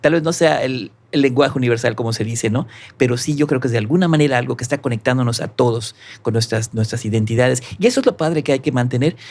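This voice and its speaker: With a Yucatecan accent, a man talks at a very fast pace and ordinary pitch variation. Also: medium pitch for a man. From Mexico, Yucatán (Mérida). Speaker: musician and arranger. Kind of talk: podcast interview.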